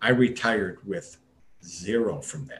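Breathing somewhat audibly through his words, a man talks at a very slow pace with a medium pitch and ordinary pitch variation. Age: 60s. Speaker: retired gastroenterologist, startup medical officer. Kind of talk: interview.

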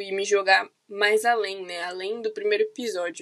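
Over a quiet background, a woman with a bright, sharp tone speaks at a medium pitch in a monotone, flat intonation. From São Paulo city, Brazil. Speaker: podcaster, university student. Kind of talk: casual monologue. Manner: hesitant, many fillers.

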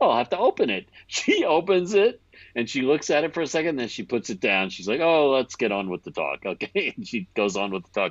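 A man with a fairly high pitch and vocal fry talks at a fairly quick pace with hardly any pauses and very wide pitch swings, in a dry, close sound with no echo. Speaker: audio engineer.

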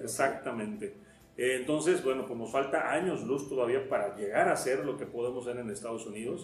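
A man speaks at a fairly quick pace in a medium pitch, with ordinary pitch variation. The room echoes audibly, and background noise is noticeable. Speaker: foreign trade expert and businessman. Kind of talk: interview.

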